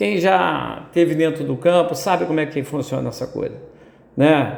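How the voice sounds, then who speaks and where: A man with a fairly high pitch speaking at a moderate pace. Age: 70s. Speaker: football commentator. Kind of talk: opinion commentary monologue. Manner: hesitant, many repetitions and fillers.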